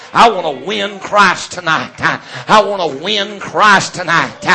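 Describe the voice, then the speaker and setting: A man with a Southern US accent projects a raised, high-pitched voice over noticeable background noise. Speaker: Pentecostal preacher. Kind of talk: sermon. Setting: church.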